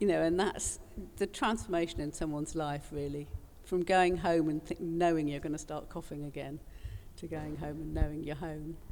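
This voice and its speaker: Soft-spoken, a woman talks at a very deep, low pitch and moderate pace with fairly even intonation. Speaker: panelist. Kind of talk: panel discussion.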